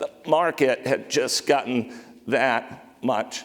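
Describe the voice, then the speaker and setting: Amid noticeable background noise, a man with an American accent talks at a very slow pace. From Maine, US. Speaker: company CEO, conference speaker. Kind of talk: conference talk. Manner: choppy, sometimes hard to hear.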